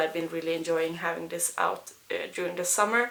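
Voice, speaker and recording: Bright and sharp in tone, a woman with a non-native accent speaks with fairly even intonation. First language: not English. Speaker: beauty vlogger and English teacher. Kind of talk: casual product review vlog. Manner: halting, many fillers.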